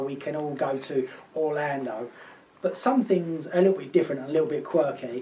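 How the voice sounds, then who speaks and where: Very fast speech in an Essex accent over noticeable background noise. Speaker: travel deals presenter. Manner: upbeat, enthusiastic.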